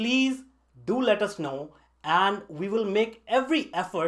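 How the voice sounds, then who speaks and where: A man's high voice, fairly slow, with lively intonation. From northern India. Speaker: online tech instructor. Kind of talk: scripted narration. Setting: basement home studio.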